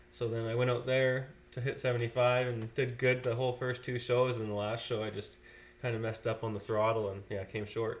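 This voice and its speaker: Speaking with a western Canadian accent, a man keeps a moderate pace at medium pitch, his intonation monotone and flat. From Fort McMurray, Alberta, Canada. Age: 20s. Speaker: pro freestyle motocross rider. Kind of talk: casual chat.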